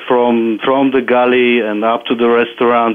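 In a Bulgarian accent, a man talks at a moderate pace and medium pitch with monotone, flat intonation. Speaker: property manager and author. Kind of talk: interview.

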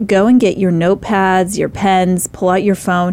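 A plain, everyday voice speaks at a moderate pace. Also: woman. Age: 30s. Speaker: radio talk show host. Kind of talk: interview talk show. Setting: studio.

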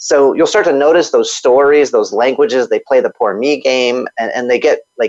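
Moderate-paced male speech, dry and close, free of echo. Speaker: kung fu instructor and author. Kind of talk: interview.

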